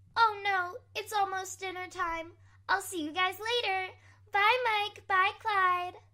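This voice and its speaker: An extremely high-pitched put-on character voice from a woman, cheerful in tone, fairly even in intonation, at a fairly slow pace. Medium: audio drama.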